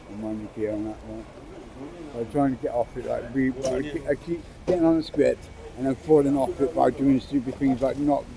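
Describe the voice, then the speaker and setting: A man's medium-pitched voice moves fairly quickly with fairly even intonation, noticeable background noise behind it. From England (Bristol). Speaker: homeless man, interviewee. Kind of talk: casual street conversation. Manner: halting, repetitive.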